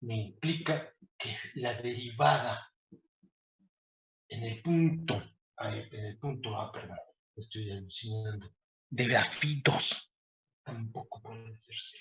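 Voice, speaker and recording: A man talks at a very slow pace. Long pauses come often. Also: medium pitch for a man, ordinary pitch variation, big swings in loudness. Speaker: university professor. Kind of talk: lecture.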